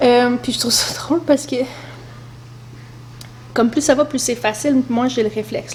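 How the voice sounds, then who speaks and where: Noticeable background noise accompanies a woman speaking at a moderate pace with a Quebec accent. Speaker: mother vlogger. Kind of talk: casual talk to camera.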